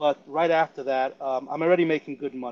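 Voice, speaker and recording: A man talks in a fairly high voice with fairly even intonation. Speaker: amateur poker player. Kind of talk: podcast interview. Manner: halting, many fillers and repeats.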